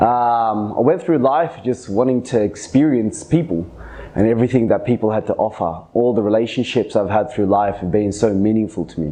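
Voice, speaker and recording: This man talks at a moderate pace, medium in pitch, with ordinary pitch variation. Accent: strong Australian. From Australia, Sydney. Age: 30s. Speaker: podcast host. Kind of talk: personal storytelling monologue. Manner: casual, conversational with fillers.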